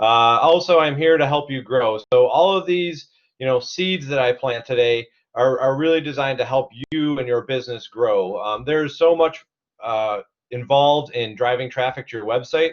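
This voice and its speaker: A man with an American accent, medium in pitch, with ordinary pitch variation. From Cleveland, Ohio. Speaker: CEO and digital marketing instructor. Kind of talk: webinar presentation. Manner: fast; energetic.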